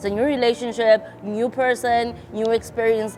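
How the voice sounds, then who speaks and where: Medium pitch from a woman, with noticeable background noise. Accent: South African. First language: isiXhosa. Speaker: YouTuber. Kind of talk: storytime vlog, casual chat.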